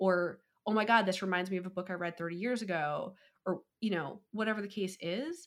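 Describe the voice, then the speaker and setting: A woman with a normal speaking voice talks at a fairly quick pace and a medium pitch, with ordinary pitch variation. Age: 30s. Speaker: podcast host, romance reader. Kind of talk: casual chat. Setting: podcast interview.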